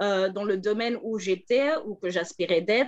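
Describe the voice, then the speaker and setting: A woman with a Flemish accent speaks at a very slow pace. The background is quiet. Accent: Dutch-speaking (Flemish) accent in French. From Belgium, Antwerp (Flemish). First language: Dutch (speaking French). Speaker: political advisor and former journalist. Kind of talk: panel talk. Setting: video call.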